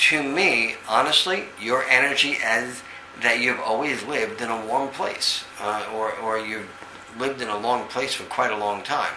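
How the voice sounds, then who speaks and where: Over noticeable background noise and audible room echo, a man speaks at a fairly slow pace in a New York accent. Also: medium pitch for a man, ordinary pitch variation. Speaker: psychic medium. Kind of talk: psychic reading over video call. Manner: halting, many fillers.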